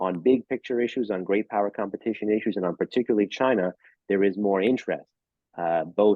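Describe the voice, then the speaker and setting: A man talks in a New York accent with ordinary pitch variation. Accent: New York American. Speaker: think tank senior fellow, speaker. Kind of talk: lecture. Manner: fast.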